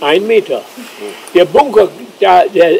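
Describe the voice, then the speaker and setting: Noticeable background noise fills the clip. A man is speaking over it. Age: 80s+. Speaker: eyewitness and island chronicler. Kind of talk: guided tour explanation.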